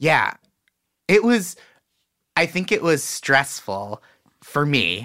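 A man with a fairly high pitch and a bright, sharp tone speaks at a very slow pace, leaving long, frequent pauses. His pitch swings very widely, his loudness stays very even, and vocal fry is present. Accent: American. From Boston, US. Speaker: comedian. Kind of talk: casual chat.

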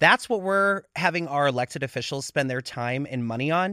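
Speaking in an American accent, a man with a fairly high pitch and a bright, sharp tone swings his pitch very widely, on a very clean recording with a silent background and a dry, close sound with no echo. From US Midwest (Pittsburgh, then Chicago). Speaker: drag performer and congressional candidate. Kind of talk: interview.

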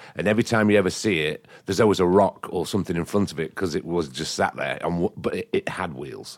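With an English accent, the speaker goes very fast with hardly any pauses and ordinary pitch variation, on a very clean recording with a silent background. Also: man, very deep, low pitch for a man. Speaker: set designer. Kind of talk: casual chat.

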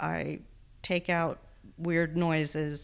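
In a Texan accent, a woman speaks very slowly in a fairly low voice. The recording is very clean, with a silent background. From Texas. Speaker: podcast editor in recovery. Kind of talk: interview.

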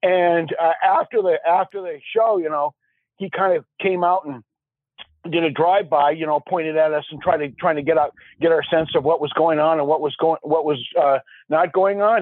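A man's high voice in an Upper Midwest accent, with fairly even intonation at a moderate pace. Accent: Upper Midwest American. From Minnesota (Minneapolis). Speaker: caller. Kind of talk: storytelling. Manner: halting, laughs often.

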